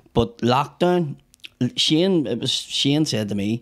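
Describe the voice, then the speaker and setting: Lively intonation in a Northern Irish accent. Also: man. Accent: Northern Irish (Belfast). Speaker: comedian. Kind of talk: casual chat. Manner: animated.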